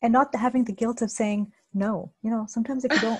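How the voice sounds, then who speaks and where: A soft-spoken woman talks at a very fast pace with fairly even intonation. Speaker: health expert. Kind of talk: casual interview.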